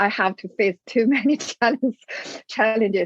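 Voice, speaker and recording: In a dry, close sound with no echo, a woman speaks with a Chinese accent and lively intonation. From China. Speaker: business owner, migrant. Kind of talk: interview. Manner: halting, many fillers.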